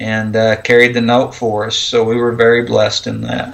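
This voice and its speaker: A man with an American accent, medium pitch and moderate pace, amid noticeable background noise. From Oklahoma. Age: 40s. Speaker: homesteader. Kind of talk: casual chat.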